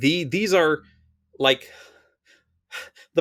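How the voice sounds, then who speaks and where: At a moderate pace, a man speaks with a strong Philadelphia accent in a dry, close recording with no echo. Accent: strong Mid-Atlantic (Philadelphia). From US Mid-Atlantic, Philadelphia. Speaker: Magic card flavor text writer. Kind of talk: casual podcast interview. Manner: loud.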